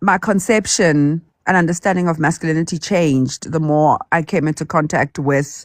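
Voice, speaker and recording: A woman speaks at a moderate pace in a very deep, low pitch with ordinary pitch variation. The recording is very clean, with a silent background and a dry, close sound with no echo. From Nigeria. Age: 30s. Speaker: caller. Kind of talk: casual chat. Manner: halting.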